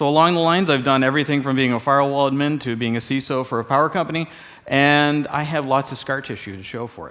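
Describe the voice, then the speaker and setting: A man with a Canadian accent at a very fast pace, fairly high in pitch, with ordinary pitch variation. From Canada. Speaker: security expert. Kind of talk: keynote talk. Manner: casual, conversational.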